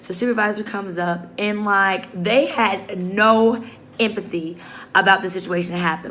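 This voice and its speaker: An animated voice with audible room echo and noticeable background noise. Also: woman. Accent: American. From Chicago, South Side. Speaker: social work student. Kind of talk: video journal, casual monologue. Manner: loud, animated.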